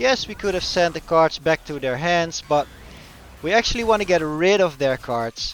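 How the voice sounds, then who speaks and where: A man with a Dutch accent and lively intonation, music in the background. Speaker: gaming YouTuber. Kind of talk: gameplay commentary. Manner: halting.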